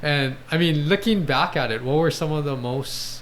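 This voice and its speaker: There is noticeable background noise behind this man. He speaks at a moderate pace. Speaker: podcast host, athletic trainer. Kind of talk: podcast interviewer questions.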